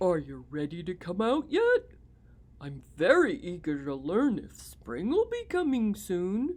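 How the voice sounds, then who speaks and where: The delivery is a put-on character voice. It sits at a middle pitch and moves at a fairly slow pace. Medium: read story.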